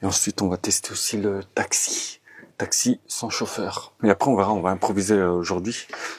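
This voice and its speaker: Over noticeable background noise, a man speaks at a moderate pace in a fairly low pitch. His intonation is monotone and flat, and the sound is dry and close with no echo. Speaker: travel vlogger. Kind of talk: casual vlog narration. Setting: hostel dormitory. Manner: soft-spoken, quiet.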